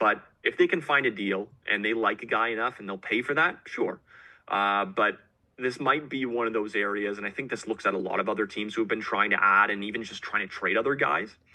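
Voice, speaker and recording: A man with a plain, everyday voice talks fairly quickly at a fairly low pitch, with ordinary pitch variation. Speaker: guest podcast host. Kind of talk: conversational interview answer.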